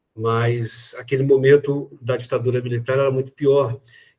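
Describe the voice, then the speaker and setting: A man speaks at a very slow pace with a medium pitch. His voice is somewhat breathy. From Brazil, Espírito Santo. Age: 60s. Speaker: cultural activist. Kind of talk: interview. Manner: halting.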